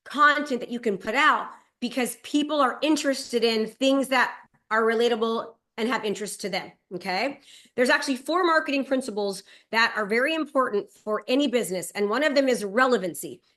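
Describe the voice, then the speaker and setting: Bright, sharp and energetic, a high-pitched woman speaks at a fairly quick pace over a quiet background. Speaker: real estate and digital marketing coach. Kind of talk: webinar presentation. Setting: video call. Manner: fast.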